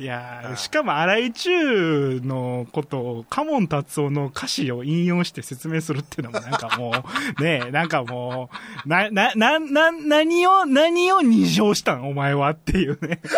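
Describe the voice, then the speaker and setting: A man speaks with a Kansai accent. His tone is animated and his pace fairly slow. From Nara Prefecture, Japan. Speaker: podcast co-host. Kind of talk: casual chat. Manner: animated, laughing often.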